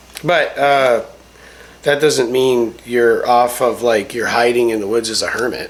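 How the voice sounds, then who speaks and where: A man's fairly slow, mumbled speech over noticeable background noise. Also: medium pitch for a man, fairly even intonation. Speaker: homesteader, army veteran. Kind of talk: casual chat. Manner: mumbling.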